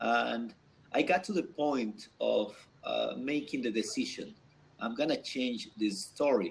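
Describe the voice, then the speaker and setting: This man talks at a fairly slow pace. He has a non-native accent. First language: not English. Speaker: guest on business talk show. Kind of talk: video panel discussion. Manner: halting.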